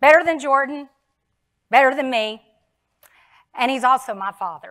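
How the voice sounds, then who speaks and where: Over a quiet background, a woman with an American accent uses a raised, projected voice that is high-pitched, bright and sharp, with very wide pitch swings. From Texas. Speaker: insurance sales speaker; speaker. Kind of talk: keynote speech. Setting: stage with audience. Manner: animated. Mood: emotional about late father. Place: stage.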